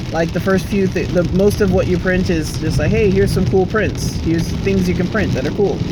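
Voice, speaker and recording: A man's voice with hardly any pauses and very even loudness, over noticeable background noise and audible room echo. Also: fairly quick pace. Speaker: vlogger. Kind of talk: casual vlog monologue. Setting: outdoors in the rain.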